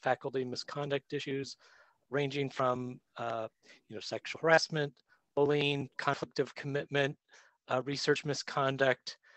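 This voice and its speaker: A man talks at a fairly slow pace. The background is quiet and the sound is dry with no echo. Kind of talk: lecture. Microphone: video call.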